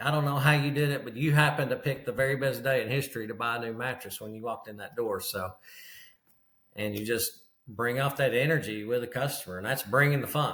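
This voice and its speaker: Spoken at a very fast pace with a Kentucky accent, the voice shows big swings in loudness. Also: man, medium pitch for a man, ordinary pitch variation. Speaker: mattress retailer and business coach. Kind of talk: casual interview.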